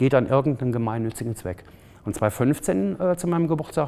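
This man speaks at a fairly quick pace with a medium pitch. His intonation is lively. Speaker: photographer and charity founder. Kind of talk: interview. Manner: halting, many fillers.

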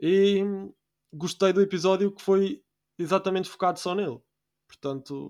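The recording is very clean with a silent background, and the man's voice sits at a high pitch. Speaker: podcast host. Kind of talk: casual chat. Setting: recording at night.

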